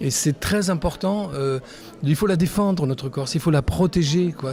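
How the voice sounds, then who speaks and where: A man talks at a middling speed with usual rises and falls in pitch, music going on in the background. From Corsica, Bastia. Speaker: photographer. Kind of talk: interview. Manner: halting.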